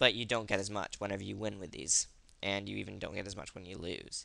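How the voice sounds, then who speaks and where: There is vocal fry in this man's fairly low voice as he talks at a fairly quick pace. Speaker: gaming video creator. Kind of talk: tutorial. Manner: halting; casual.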